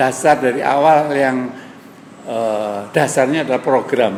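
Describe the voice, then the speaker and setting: A man with a fairly high pitch speaks at a fairly slow pace with ordinary pitch variation, heard over noticeable background noise with audible room echo. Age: 70s. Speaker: senior gym-goer, former athletics coach. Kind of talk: interview.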